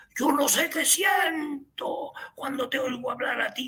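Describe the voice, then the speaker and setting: This man shouts in a put-on character voice with an extremely high pitch. The sound is raspy and the pace fairly slow. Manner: forceful, confrontational.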